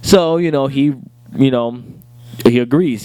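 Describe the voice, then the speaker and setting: A man speaks at a medium pitch with noticeable background noise behind him. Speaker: TV review show host. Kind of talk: casual chat. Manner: fast; halting.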